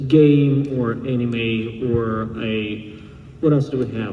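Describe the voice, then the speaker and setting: A man speaks with ordinary pitch variation. Noticeable background noise and audible room echo are present. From Russia. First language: Russian. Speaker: blacksmith and armor maker. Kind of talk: convention panel talk. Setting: stage with audience.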